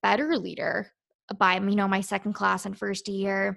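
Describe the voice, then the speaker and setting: In a very clean recording with a silent background, a woman with an American accent speaks at medium pitch and a moderate pace. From Virginia, US. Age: 20s. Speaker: naval officer and beauty pageant contestant. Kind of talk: interview.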